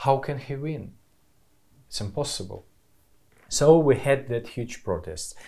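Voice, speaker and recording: Speaking fairly slowly with long, frequent pauses, a man has a fairly high pitch and ordinary pitch variation. His tone is dark and mellow, and somewhat breathy. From Belarus, Minsk. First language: Belarusian or Russian. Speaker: film director and political activist. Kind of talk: interview testimony. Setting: at guest's home. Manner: halting, non-fluent English.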